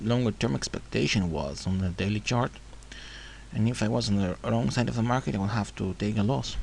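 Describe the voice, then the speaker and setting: A man talks with a non-native accent. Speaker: forex trader. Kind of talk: screen-recorded trading tutorial.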